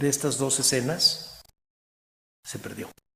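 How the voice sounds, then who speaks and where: The pace is fairly slow. Room echo is audible. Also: man. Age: 60s. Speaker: historian, museum director. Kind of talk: lecture. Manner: halting.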